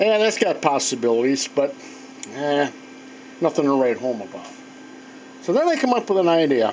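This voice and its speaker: Amid noticeable background noise, a man with a fairly high pitch talks at a moderate pace, pausing long and often as his pitch swings very widely. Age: 60s. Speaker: woodworker / machinist. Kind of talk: tutorial. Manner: casual, halting with fillers.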